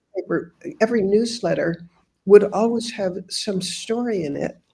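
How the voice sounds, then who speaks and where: A woman with an American accent speaks at a moderate pace in a dark, mellow, somewhat breathy tone, her intonation fairly even. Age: 80s+. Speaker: author and humanitarian reporter. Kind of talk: interview.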